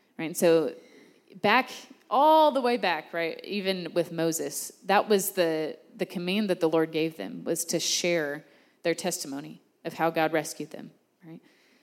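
A woman speaks in a normal speaking voice with an American accent, fairly low in pitch. Her pace is fairly slow, and her pitch varies in an ordinary way. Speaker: church small-group leader. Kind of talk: sermon. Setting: church gathering with audience.

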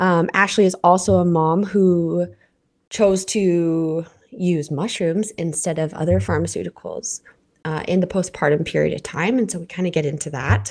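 An unremarkable speaking voice from a woman with a Canadian accent, fairly low in pitch, with ordinary pitch variation at a moderate pace. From Canada. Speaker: podcast host. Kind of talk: casual interview; scripted narration.

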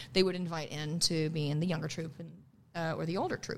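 With a Midwestern American accent, a woman speaks at a fairly low pitch. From US Midwest. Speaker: singer and stage actor. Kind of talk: casual chat. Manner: animated.

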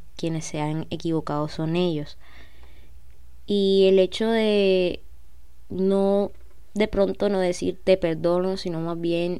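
With a dark, mellow tone and monotone, flat intonation, a woman speaks at a fairly low pitch and a fairly slow pace. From Colombia, Cartagena. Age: 20s. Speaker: podcast host. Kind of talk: personal monologue.

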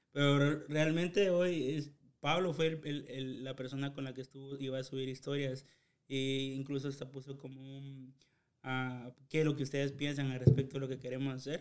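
Speaking at a moderate pace, a man delivers his words in a monotone, flat intonation at a fairly high pitch. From Guatemala, Chiquimula. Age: 20s. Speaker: podcast co-host. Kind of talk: casual chat.

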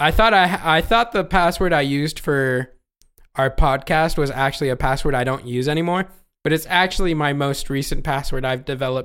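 With an ordinary speaking voice, a man of fairly high pitch talks at a fairly quick pace with ordinary pitch variation. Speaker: podcast host. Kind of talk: casual chat. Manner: casual, laughs often.

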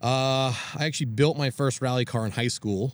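With an American accent, a man speaks at a moderate pace in an ordinary speaking voice with ordinary pitch variation. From Maine, US. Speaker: rally driver and motorsport director. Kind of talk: casual interview.

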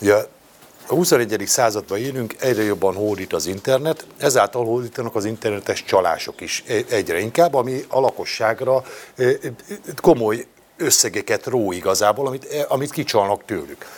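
At a moderate pace, an ordinary speaking voice carries lively intonation. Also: man, medium pitch for a man. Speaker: opposition member of parliament. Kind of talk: panel discussion.

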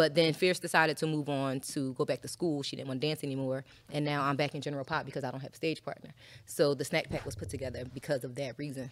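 A woman with an American accent, very deep and low in pitch, racing at a very fast pace with fairly even intonation, on a very clean recording with a silent background. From Philadelphia, US. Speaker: former adult entertainer, podcast co-host. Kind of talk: casual interview chat. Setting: studio.

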